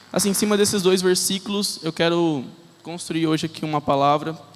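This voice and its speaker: The man's pitch is fairly high, with ordinary pitch variation. He speaks at a fairly quick pace. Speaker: lay preacher. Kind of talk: sermon. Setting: church with congregation. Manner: fast.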